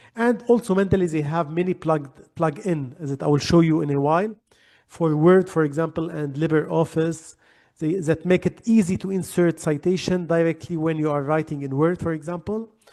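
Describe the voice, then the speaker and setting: A man's dark, mellow tone at a fairly high pitch. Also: ordinary pitch variation, fairly quick pace. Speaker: librarian presenting a webinar. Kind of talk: webinar tutorial. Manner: halting.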